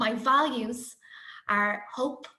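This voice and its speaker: A woman with a bright, sharp tone speaks at a fairly slow pace amid audible room echo. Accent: Dublin. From Ireland, Dublin. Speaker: primary school teacher. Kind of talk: conference presentation.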